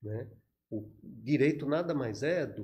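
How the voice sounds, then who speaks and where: A man's somewhat breathy voice has a dark, mellow tone at a medium pitch. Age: 60s. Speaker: retired federal police chief. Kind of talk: podcast interview.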